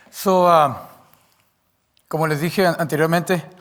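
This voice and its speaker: A man with a non-native accent and a fairly high pitch speaks at a fairly slow pace. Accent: speaks Spanish imperfectly, a bit clipped. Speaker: preacher. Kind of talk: sermon. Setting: church. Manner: halting.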